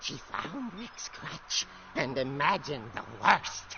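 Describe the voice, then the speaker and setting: A man puts on a character voice, pitched fairly high and delivered at a fairly slow pace. Background noise is clearly audible. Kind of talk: horror narration. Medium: video game. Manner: dramatic, suspenseful.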